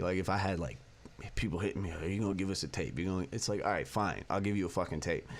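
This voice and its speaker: Very fast and very deep, this man's low-pitched voice carries vocal fry. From San Fernando Valley, California. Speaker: rapper. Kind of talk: casual interview chat. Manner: halting, filler-heavy.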